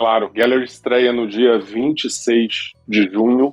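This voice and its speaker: His intonation stays fairly even as this man speaks at a medium pitch. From Rio de Janeiro, Brazil. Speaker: documentary film director. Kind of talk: podcast interview.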